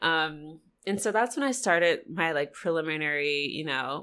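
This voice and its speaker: A woman with a very deep, low pitch and a bright, sharp tone speaks at a moderate pace with ordinary pitch variation, in a very clean recording against a silent background. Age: 30s. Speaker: astrologer. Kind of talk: casual chat.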